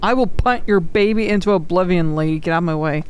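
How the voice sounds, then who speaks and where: The speech moves at a fairly quick pace. The sound is dry with no echo, with light background noise. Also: woman. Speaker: gaming streamer. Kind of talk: horror game let's play commentary. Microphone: studio mic.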